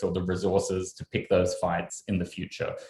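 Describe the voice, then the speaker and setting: With an Australian accent, a man talks at a medium speed. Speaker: journalist. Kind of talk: panel discussion.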